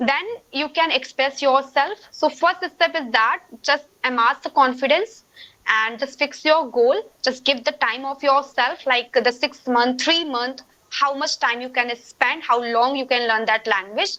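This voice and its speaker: Speaking with an Indian accent, a woman projects a raised, high-pitched voice with a bright, sharp tone, ordinary pitch variation and a fairly slow pace. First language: Hindi. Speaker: English learner guest. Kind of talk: casual conversation practice.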